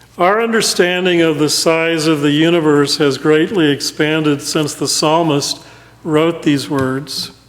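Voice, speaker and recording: A man with a fairly high pitch speaks slowly-ish and very evenly in loudness, his intonation fairly even, amid noticeable background noise. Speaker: interim pastor. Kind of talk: sermon delivered to a congregation.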